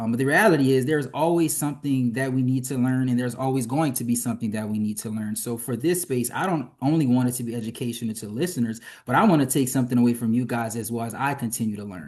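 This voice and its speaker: In a Louisiana accent, the speech races at a very fast pace with ordinary pitch variation against a quiet background. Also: man, medium pitch for a man. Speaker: physician and health policy advocate. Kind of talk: interview conversation. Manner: hesitant with fillers.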